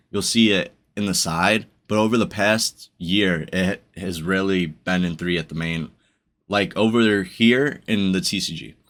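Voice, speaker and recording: A man's very deep, low voice at a moderate pace with fairly even intonation, in a very clean recording with a silent background. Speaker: YouTuber discussing card games. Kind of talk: commentary video monologue.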